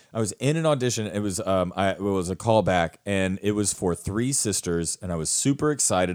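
Speaking at a moderate pace with an animated tone, a man with a very deep, low pitch has a slight Southern US accent. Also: very clean recording, silent background. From rural US South. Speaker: theater actor and acting teacher, podcast co-host. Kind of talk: casual chat.

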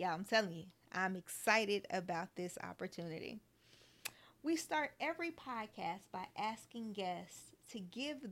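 With a normal speaking voice, a woman talks at a fairly slow pace and medium pitch, her intonation lively and her loudness swinging widely. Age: 40s. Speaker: podcast host. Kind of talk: casual interview chat.

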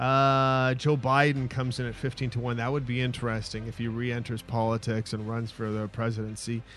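A man speaks in a flat monotone at a fairly quick pace, hardly pausing, against a quiet background. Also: medium pitch for a man. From Winnipeg, Canada. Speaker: sports talk co-host. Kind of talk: casual chat. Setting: studio.

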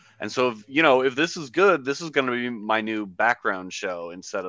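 A man speaks with lively intonation and a bright, sharp tone. The background is quiet. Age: 20s. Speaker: sports podcast host. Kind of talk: casual chat.

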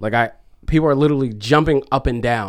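With an ordinary speaking voice, a man talks fairly quickly at a medium pitch with ordinary pitch variation. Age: 30s. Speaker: DJ and music producer. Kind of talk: casual chat. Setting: studio.

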